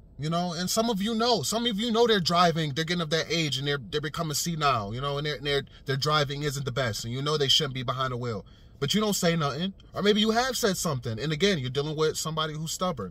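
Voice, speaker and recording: The voice has a bright, sharp tone and moves at a very fast pace. The sound is dry with no echo. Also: man. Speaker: vlogger. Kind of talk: casual vlog commentary. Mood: earnest, persuasive. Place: car. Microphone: phone near.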